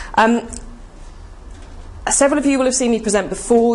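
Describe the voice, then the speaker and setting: A woman talks at a very fast pace with fairly even intonation. Audible room echo and noticeable background noise fill the recording. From Cornwall, England. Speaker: ecommerce marketing speaker and author. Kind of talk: conference presentation. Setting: stage with audience.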